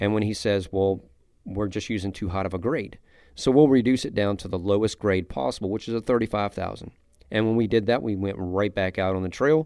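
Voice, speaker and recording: Over a quiet background, a man's dark, mellow tone sits at a fairly low pitch with ordinary pitch variation. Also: fairly quick pace. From South Louisiana. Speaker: chef and seasoning company owner. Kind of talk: casual interview.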